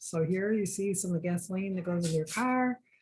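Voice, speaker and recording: A woman with an American accent has a dark, mellow tone that is somewhat breathy. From Michigan. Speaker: engineer. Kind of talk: presentation.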